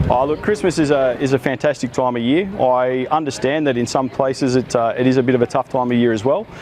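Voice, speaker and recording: Speaking with an Australian accent, a man goes at a very fast pace with hardly any pauses. His loudness stays very even over noticeable background noise. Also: medium pitch for a man, ordinary pitch variation. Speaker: army officer. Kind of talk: interview.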